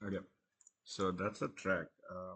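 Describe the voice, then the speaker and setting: The voice belongs to a man with a very deep, low pitch. His pace is fairly slow. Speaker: music producer. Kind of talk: software tutorial talk. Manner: hesitant, many filler words.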